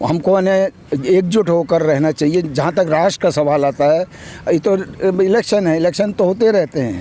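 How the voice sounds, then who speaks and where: Amid noticeable background noise, a man with a high pitch and ordinary pitch variation speaks at a moderate pace with very even loudness. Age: 70s. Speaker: retired electricity board executive, interviewee. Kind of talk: street interview.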